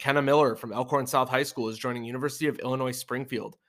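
Recorded very cleanly with a silent background, a man talks fairly quickly at a medium pitch in a bright, sharp tone. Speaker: high school soccer podcast host. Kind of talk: solo sports preview podcast, scripted. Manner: read from script.

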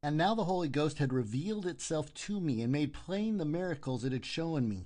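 This man has an ordinary speaking voice at a fairly high pitch. He talks at a fairly quick pace. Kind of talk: audiobook reading of a historical first-person confession. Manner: solemn, measured, formal narration.

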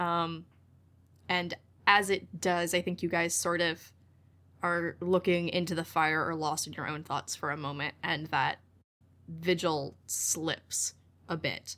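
Her tone bright and sharp, a woman talks fairly slowly in a flat monotone, with long, frequent pauses. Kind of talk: tabletop roleplay.

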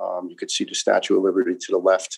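A man speaks with a New York accent. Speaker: retired firefighter. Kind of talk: interview testimony. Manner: talkative.

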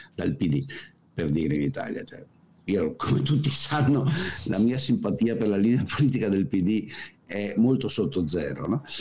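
Speaking at a moderate pace with long, frequent pauses, a man at medium pitch makes very wide pitch swings. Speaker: economist, political commentator. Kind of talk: casual chat.

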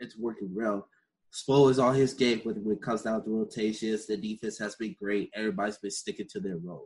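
Speaking fairly quickly, a man uses a fairly low voice with ordinary pitch variation. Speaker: podcast host. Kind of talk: casual monologue. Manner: animated.

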